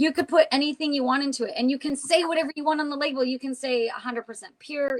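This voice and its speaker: A woman with a high pitch speaks in an animated tone at a fairly quick pace. The sound is dry and close, with no echo. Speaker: essential oils and witchcraft show co-host. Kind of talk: casual chat. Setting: live stream. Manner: fast.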